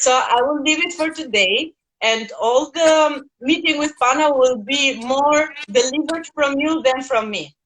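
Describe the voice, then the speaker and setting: The speaker has a non-native accent and a fairly slow pace. Pitch varies in an ordinary way. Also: woman, high pitch for a woman. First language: not English. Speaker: host of an online talk series. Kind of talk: interview.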